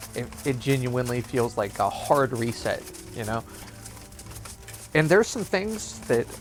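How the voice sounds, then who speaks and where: With long, frequent pauses and lively intonation, a man speaks at a medium pitch over noticeable background noise. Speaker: gaming YouTuber. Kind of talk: gameplay commentary. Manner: casual, filler-heavy; halting, stuttering.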